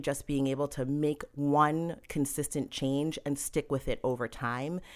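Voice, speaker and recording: A woman's very deep, low voice with an American accent, on a very clean recording with a silent background. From Massachusetts. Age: 40s. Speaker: nutritionist. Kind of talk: casual interview chat.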